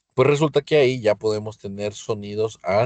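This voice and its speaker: A man's fairly low voice with ordinary pitch variation against a quiet background. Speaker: physics teacher. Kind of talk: lecture. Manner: loud; halting.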